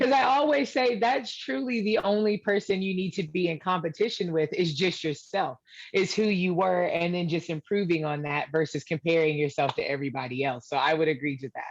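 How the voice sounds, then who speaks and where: Loud and fairly quick, a woman talks at a fairly low pitch with very wide pitch swings and hardly any pauses. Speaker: confidence coach. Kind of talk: live interview. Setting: Facebook live video. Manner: fast.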